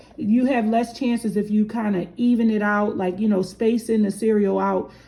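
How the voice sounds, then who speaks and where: The voice has a dark, mellow tone and is somewhat breathy. Its pace is moderate. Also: woman. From Philadelphia, US. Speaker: candle maker. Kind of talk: tutorial. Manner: casual, hesitant with fillers.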